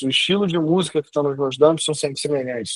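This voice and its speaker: Words pour out at a very fast pace with ordinary pitch variation, in a dry, close sound with no echo. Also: man. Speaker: online class teacher on personal branding. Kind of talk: lecture. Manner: casual, slangy.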